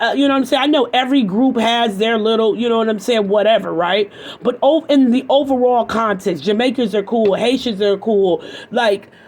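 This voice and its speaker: With an American accent, a woman talks at a fairly high pitch and very even loudness, her pitch varying in an ordinary way over noticeable background noise. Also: fairly quick pace. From Michigan, US. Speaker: YouTube commentator. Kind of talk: commentary rant. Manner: animated.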